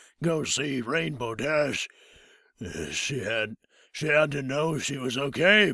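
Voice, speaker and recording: Using a raspy, put-on character voice, a man speaks at a medium pitch and a fairly slow pace with lively intonation. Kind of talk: comic overacting. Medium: read story. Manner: cranky, slow.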